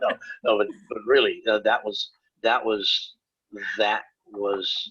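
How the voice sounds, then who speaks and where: A man talks at a fairly slow pace with an American accent. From northern Wisconsin. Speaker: comic book artist. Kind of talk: casual interview chat.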